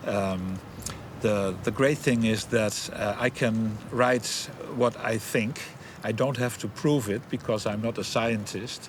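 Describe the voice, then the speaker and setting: Over noticeable background noise, the voice moves at a very slow pace with fairly even intonation. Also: man, medium pitch for a man. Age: 60s. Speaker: former anthropologist. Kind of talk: interview. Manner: halting.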